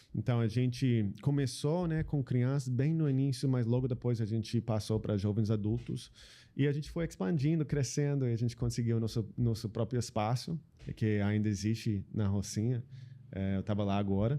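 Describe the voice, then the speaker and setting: Against a quiet background, a man with an American accent speaks at a moderate pace. His tone is dark and mellow, and his loudness very even. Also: medium pitch for a man, ordinary pitch variation. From US Pacific Northwest (Seattle). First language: English (speaking Portuguese). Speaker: social entrepreneur. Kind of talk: interview conversation. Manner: halting, many fillers.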